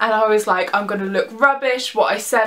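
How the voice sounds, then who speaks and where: Speaking with a southern English accent, a woman uses ordinary pitch variation at a moderate pace. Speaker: vlogger. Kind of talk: casual vlog. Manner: animated.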